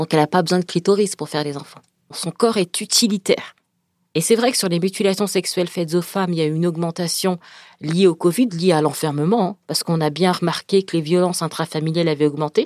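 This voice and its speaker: On a very clean recording with a silent background, a woman with a fairly low pitch talks at a very fast pace with ordinary pitch variation, the sound dry and close with no echo. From France, Paris suburbs, Senegalese family. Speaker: author and speaker. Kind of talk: interview.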